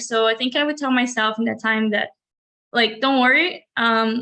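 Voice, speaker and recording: Speaking at a moderate pace with fairly even intonation, a woman with a fairly high voice and a bright, sharp tone talks in a Brazilian Portuguese accent. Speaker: college graduate, art student. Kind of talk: interview. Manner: halting.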